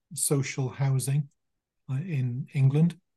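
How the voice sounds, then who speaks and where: Somewhat breathy and dark, mellow in tone, a man's fairly high voice holds fairly even intonation. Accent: British. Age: 60s. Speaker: clinical hypnotherapist. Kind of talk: interview. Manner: soothing.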